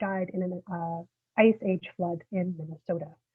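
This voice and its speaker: A soft-spoken woman talks at a moderate pace. Her intonation is monotone and flat. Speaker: historian giving a public talk. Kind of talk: lecture. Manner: halting, many fillers. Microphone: coming through quietly.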